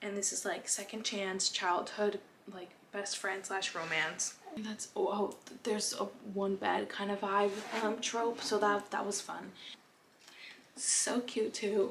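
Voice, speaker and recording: A woman speaks with a non-native accent. Her intonation is fairly even and her pace fairly slow. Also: medium pitch for a woman. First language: not English. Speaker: book reviewer. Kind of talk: casual talk to camera. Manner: rambling, chatty.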